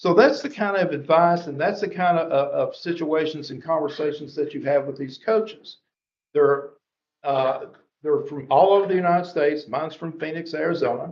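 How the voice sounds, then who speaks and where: A man's fairly high voice with an American accent, ordinary pitch variation and big swings in loudness. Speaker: education presenter. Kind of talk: presentation to school board. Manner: fast; animated.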